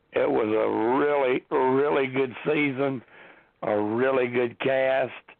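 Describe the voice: A man speaks slowly at a medium pitch, with vocal fry. His intonation stays fairly even.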